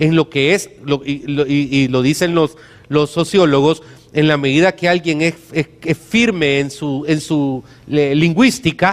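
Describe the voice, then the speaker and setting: A man with a Salvadoran accent speaks at a fairly slow pace. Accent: deliberate Salvadoran. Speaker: pastor. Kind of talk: sermon. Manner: frequent stammering repetitions.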